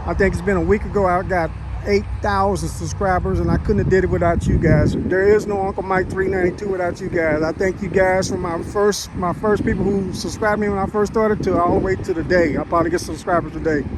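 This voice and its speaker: A man talks at a very fast clip with hardly any pauses. Noticeable background noise runs underneath. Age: 60s. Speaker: car show vlogger, army veteran. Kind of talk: casual vlog walkthrough. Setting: outdoors at a car show. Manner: casual, conversational.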